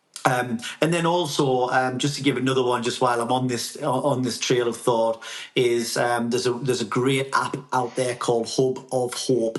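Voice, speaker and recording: Over music in the background, a man with a Geordie accent speaks at a moderate pace and medium pitch with monotone, flat intonation. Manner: conversational, frequent fillers.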